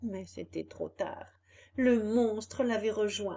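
Fairly even intonation runs through the delivery. It is plain reading aloud.

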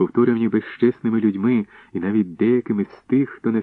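The natural reading voice keeps a fairly even intonation.

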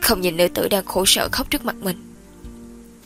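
Ordinary pitch movement in an unforced reading voice

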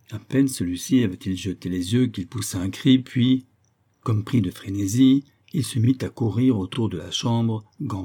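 An unforced reading voice with ordinary pitch variation. The background is quiet.

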